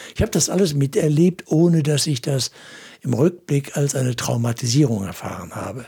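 A man speaks at a moderate pace with a fairly high pitch. His voice is somewhat breathy with a dark, mellow tone. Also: lively intonation. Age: 70s. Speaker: pastor and evangelist. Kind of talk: interview.

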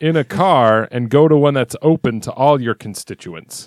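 Using a normal speaking voice, a man with a fairly high pitch talks at a moderate pace with lively intonation in a dry, close sound with no echo. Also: very clean recording, silent background. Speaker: podcast co-host. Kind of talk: casual banter podcast chat.

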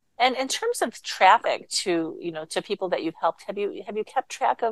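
At a fairly quick pace, a woman talks in an ordinary speaking voice at a medium pitch, with a dry, close sound and no echo. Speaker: radio host. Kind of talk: radio interview.

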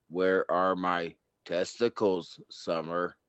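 A man puts on a robotic character voice. His pitch is very deep and low, and he talks very slowly.

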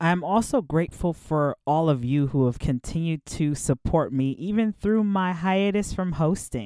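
A woman with an American accent and a fairly low pitch speaks at a moderate pace with hardly any pauses, her tone animated and upbeat, her intonation lively and her loudness very even, in a dry, close sound with no echo. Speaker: podcast host. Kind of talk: solo podcast monologue, casual storytelling. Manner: animated, upbeat, conversational.

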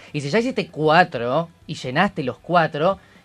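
A man talks at a moderate pace while music plays behind him. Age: 20s. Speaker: radio show panelist. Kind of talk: casual chat.

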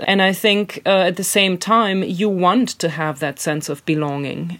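Spoken with a German accent, this is a very clean recording with a silent background. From Germany. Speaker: author and illustrator. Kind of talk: interview. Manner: halting.

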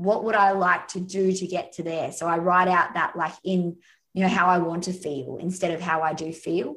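With an Australian accent, a woman speaks at a moderate pace and medium pitch, her pitch varying in an ordinary way. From Australia, north of Sydney. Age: 30s. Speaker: happiness coach. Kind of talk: interview.

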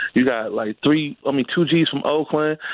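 Noticeable background noise accompanies a man at a moderate pace. His pitch is fairly high. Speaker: friend of host, phone guest. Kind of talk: casual chat. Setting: phone call. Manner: slang-heavy, excitable.

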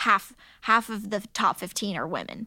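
In a very clean recording with a silent background, a woman with a fairly high pitch speaks at a moderate pace in an unremarkable speaking voice. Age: 20s. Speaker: ninja competitor and former gymnastics coach. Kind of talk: interview.

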